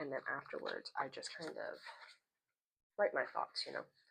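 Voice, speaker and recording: Soft-spoken, a woman talks at a fairly quick pace. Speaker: lifestyle vlogger. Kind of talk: casual book review vlog. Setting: at home, indoors. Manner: soft-spoken, speaking quietly.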